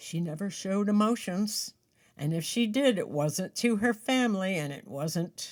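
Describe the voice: The text is read aloud plainly. Its intonation rises and falls in a lively way.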